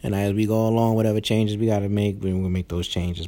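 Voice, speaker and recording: Quiet and dark, mellow in tone, a man talks with a New York accent. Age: 30s. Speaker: podcast host and new father. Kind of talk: casual chat. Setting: hospital room. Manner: speaking quietly; uneven, unpolished delivery.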